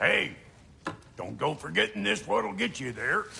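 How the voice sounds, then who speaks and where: A man uses a put-on character voice, raspy and at medium pitch. He talks at a moderate pace. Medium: video game. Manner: gruff, sarcastic.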